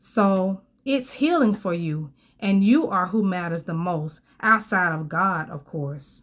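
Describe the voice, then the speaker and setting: A woman at a medium pitch with lively intonation and a very slow pace, on a very clean recording with a silent background. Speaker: faith vlogger sharing testimony. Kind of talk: testimony. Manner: slow at times; halting.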